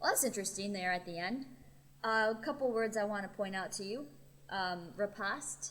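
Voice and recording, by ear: The pitch shows ordinary variation. It comes from someone reading aloud in a natural voice.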